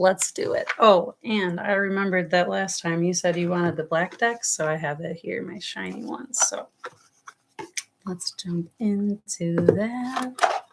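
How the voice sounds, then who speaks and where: A woman with an American accent talks with big swings in loudness and ordinary pitch variation. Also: medium pitch for a woman, fairly slow pace. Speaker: tarot reader. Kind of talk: live stream tarot reading. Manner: casual, rambling.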